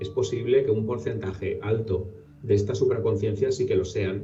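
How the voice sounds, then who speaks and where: A man speaks in a dark, mellow tone that is somewhat breathy. His pitch varies in an ordinary way, and the room echo is audible. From Valencia, Spain. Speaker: paranormal researcher. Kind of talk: interview.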